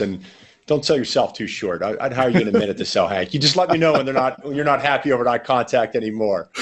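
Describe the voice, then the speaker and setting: With a Pittsburgh accent, a man speaks at a very fast pace in a medium pitch with ordinary pitch variation. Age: 40s. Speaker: sales trainer. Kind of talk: podcast interview.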